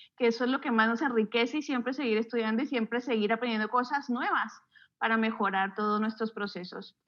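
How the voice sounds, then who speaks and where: Fairly even intonation at a fairly quick pace. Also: woman, fairly high pitch for a woman. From Colombia, Bogotá. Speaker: architect and university lecturer. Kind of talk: podcast interview.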